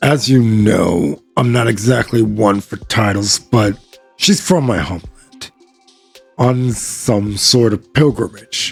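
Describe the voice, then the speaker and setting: A man in a put-on character voice talks at a very slow pace, raspy and fairly low-pitched, with faint music in the background. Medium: read story. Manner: gruff, blunt.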